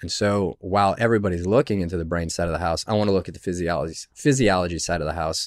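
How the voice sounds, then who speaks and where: A man with an American accent speaks very fast in a very deep, low voice with ordinary pitch variation, on a very clean recording with a silent background and a dry, close sound with no echo. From Michigan, US Midwest. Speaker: former special forces soldier, charity founder. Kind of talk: casual interview. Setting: studio.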